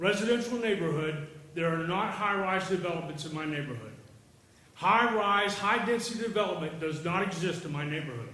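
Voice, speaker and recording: Room echo and noticeable background noise surround a man whose intonation is lively. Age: 60s. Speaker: resident speaking at public hearing. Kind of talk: public comment at hearing. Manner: emphatic.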